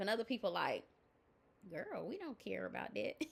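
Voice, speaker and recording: The woman's voice sits fairly high in pitch and has a bright, sharp tone. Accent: American. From US South. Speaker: life coach. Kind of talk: motivational talk. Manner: loud; animated.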